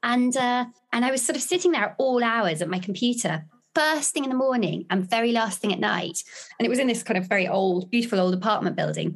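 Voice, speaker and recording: A woman speaks very fast in a fairly high, somewhat breathy voice, with lively intonation and very even loudness. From London. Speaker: novelist. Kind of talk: casual chat.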